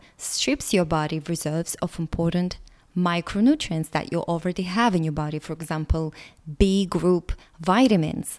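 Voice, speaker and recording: Fairly low-pitched, a woman speaks at a moderate pace with a Russian accent and ordinary pitch variation. The recording is very clean, with a silent background. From Latvia. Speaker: podcast host. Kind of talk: solo monologue podcast.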